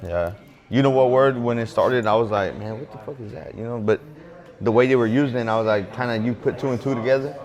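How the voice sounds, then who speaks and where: Speaking at a very fast pace, a man keeps a medium pitch and fairly even intonation. There is noticeable background noise. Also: big swings in loudness. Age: 20s. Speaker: barber shop co-owner. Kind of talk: casual chat. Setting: barber shop.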